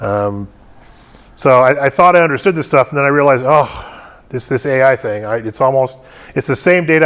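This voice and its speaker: A man's voice at medium pitch. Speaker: tech conference speaker. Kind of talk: technical talk to a meetup audience. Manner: fast; filler-heavy, somewhat jumbled.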